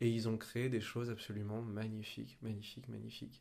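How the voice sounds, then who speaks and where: This man talks at a fairly slow pace. His voice sits at a medium pitch. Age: 20s. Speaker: young actor. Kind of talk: casual chat. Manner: halting.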